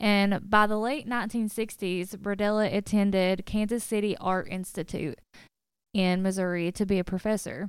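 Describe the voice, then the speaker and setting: A woman speaks at a moderate pace in a medium pitch, a normal speaking voice. The recording is very clean, with a silent background. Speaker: podcast co-host. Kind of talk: casual podcast chat and narrated case retelling. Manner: laughs often, upbeat.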